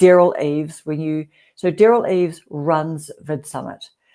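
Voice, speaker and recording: In a very clean recording with a silent background, a woman with a New Zealand accent speaks in a very deep, low voice with a dark, mellow tone and fairly even intonation. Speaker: YouTube creator hosting a livestream. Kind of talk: casual chat.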